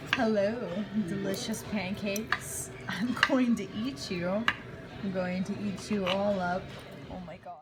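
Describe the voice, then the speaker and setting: A woman speaks at a fairly slow pace and a medium pitch with ordinary variation. Audible room echo and noticeable background noise fill the recording. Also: big swings in loudness. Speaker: goth vlogger. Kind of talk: casual vlog chat. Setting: outdoors then restaurant.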